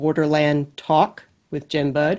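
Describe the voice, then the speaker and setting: Against a quiet background, a woman with an American accent speaks at a very deep, low pitch. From US South, Alabama. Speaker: former border patrol agent. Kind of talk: prepared talk. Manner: reading from script.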